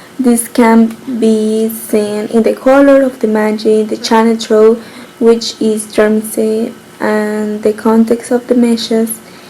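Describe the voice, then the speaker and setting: A woman speaks at a fairly high pitch in a flat, monotone way over noticeable background noise. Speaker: student giving a class presentation. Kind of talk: recorded class presentation. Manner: halting.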